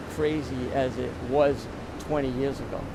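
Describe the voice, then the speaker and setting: Audible room echo and noticeable background noise surround a man's voice. His pitch is fairly high and his intonation fairly even. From Rhode Island. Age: 60s. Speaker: surfer. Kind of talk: interview.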